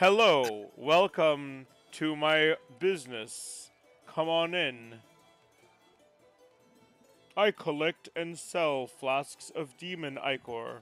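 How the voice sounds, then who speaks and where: A man puts on a character voice with a fairly high pitch, speaking at a very slow pace. He leaves long, frequent pauses while faint music plays in the background. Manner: welcoming, salesman-like.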